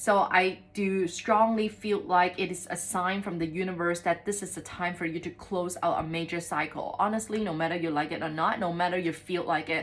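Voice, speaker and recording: With noticeable background noise behind her, a woman talks with hardly any pauses and fairly even intonation. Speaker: tarot reader. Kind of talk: tarot reading. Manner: fast; hesitant with many fillers.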